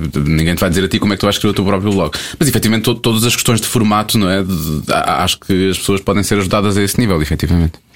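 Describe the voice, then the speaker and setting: Very fast, very evenly loud speech from a man with a fairly low voice, ordinary pitch variation, and noticeable background noise. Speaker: radio podcast host. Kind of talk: quiz game; casual chat.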